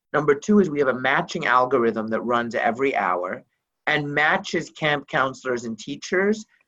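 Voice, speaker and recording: Over music in the background, a man with a fairly high pitch talks at a fairly quick pace, his pitch swinging very widely. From Lebanon (Beirut). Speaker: nonprofit executive director. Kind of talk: interview.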